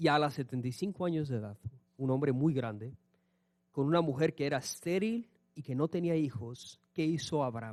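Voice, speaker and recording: Speaking at a moderate pace, a man sounds animated with lively intonation. His pitch is fairly high. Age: 30s. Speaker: pastor. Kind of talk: sermon.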